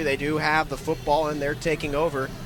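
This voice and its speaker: A man is speaking. Music plays in the background. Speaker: radio play-by-play announcer. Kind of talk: sports radio play-by-play.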